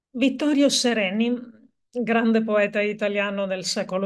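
A woman is speaking. The background is quiet. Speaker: poetry reader and performer. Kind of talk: poetry reading aloud, with a short spoken introduction. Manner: slow, measured, hushed and meditative delivery with deliberate pauses. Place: home room. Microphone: webcam.

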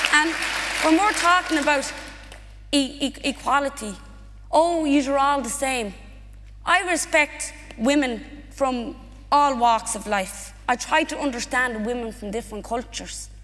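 A woman with a high pitch speaks at a fairly slow pace, with ordinary pitch variation. Long, frequent pauses break up her speech, and faint music plays in the background. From Ireland, Irish Traveller community, Dublin. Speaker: activist; guest. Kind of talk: onstage conversation. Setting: stage with audience. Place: stage. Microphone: headset.

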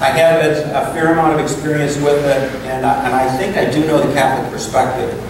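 The man's intonation is monotone and flat at a moderate pace. Strong room echo and noticeable background noise fill the recording. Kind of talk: lecture. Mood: warm, conversational. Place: meeting room.

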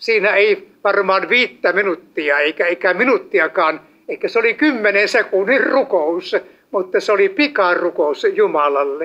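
Projected and raised, a man's high voice with a bright, sharp tone moves at a fairly slow pace with lively intonation and very even loudness over a quiet background. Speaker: evangelist preacher. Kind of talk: sermon. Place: hall.

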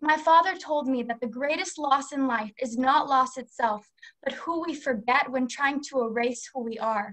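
Against a quiet background, a woman talks at a moderate pace. Her high pitch shows ordinary variation. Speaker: presenter. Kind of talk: prepared speech. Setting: video call. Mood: earnest, reflective. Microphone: video call.

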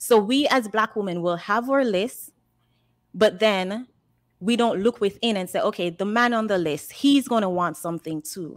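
In a Jamaican accent, a woman talks at a moderate pace with ordinary pitch variation against a quiet background. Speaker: caller. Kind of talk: call-in discussion. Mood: earnest, opinionated.

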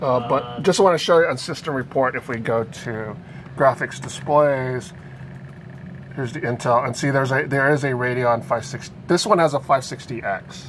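A man at medium pitch with ordinary pitch variation, over noticeable background noise. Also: moderate pace. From Philippines. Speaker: tech journalist. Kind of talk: live stream unboxing and review. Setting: office desk, live stream.

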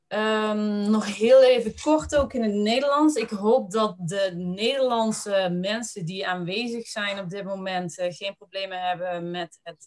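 Very slowly, a woman talks with ordinary pitch variation. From Netherlands. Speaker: webinar host. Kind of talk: presentation. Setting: web seminar. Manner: halting. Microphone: video call.

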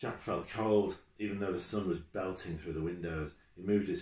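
The speaker is reading aloud. The delivery is plain.

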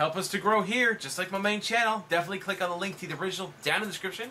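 A raised, projected voice at a very fast pace, over light background noise. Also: man. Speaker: reaction video host. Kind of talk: casual commentary.

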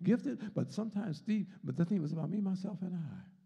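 Very fast speech from a man with a high pitch, a dark, mellow tone and ordinary pitch variation, against a quiet background. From US. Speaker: Sunday school teacher, deacon. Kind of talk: Bible lesson and sermon, with prayer. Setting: church, streamed video with congregation. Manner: rhythmic, repetitive, call-and-response preaching, fervent and rising in intensity; repeats words and phrases, stop-start, emphatic. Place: church. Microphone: handheld.

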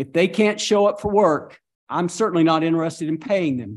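A man with a high pitch speaks over a quiet background. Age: 60s. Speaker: mayor chairing city council meeting. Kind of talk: council meeting. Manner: animated. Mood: frustrated, blunt. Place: hall. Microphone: podium.

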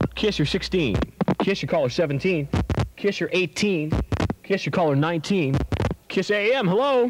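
Through loud background noise, a man talks with long, frequent pauses. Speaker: radio DJ. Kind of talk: live top-40 radio DJ banter. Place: studio. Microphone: studio mic.

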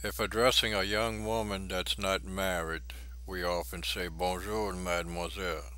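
Very deep, low male voice, bright and sharp in tone, with very wide pitch swings, a moderate pace and audible room echo. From Louisiana, Cajun country. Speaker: language instructor. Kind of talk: tutorial. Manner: halting.

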